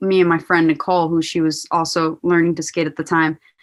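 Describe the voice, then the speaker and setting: A woman's fairly low voice with a New Jersey accent, on a very clean recording with a silent background. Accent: American, New Jersey. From born in Poland, raised in New Jersey. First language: Polish. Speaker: professional skateboarder. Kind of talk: casual interview.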